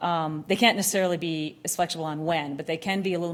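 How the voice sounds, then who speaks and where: Very fast speech with fairly even intonation. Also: woman. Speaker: oil and gas company environmental advisor. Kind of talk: conference talk.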